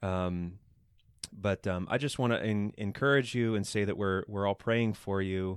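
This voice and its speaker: A man speaks fairly slowly at a fairly low pitch. His intonation is fairly even and his loudness very even. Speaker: podcast host. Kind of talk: casual chat. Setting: home recording, unedited, kids in background. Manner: halting, many ums and uhs.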